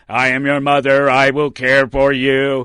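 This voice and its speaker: A man performs a put-on character voice at medium pitch. His delivery is monotone and flat at a moderate pace. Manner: creepy, reassuring.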